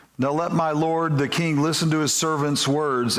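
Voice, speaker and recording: In a fairly high voice, a man talks at a moderate pace, and audible room echo hangs around his words. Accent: Kentucky. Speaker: pastor. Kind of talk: sermon.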